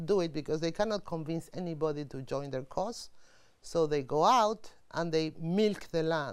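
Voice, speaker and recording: A woman with an ordinary speaking voice, fairly low in pitch, lively intonation and a moderate pace, on a very clean recording with a silent background. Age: 60s. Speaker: UN official. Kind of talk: interview.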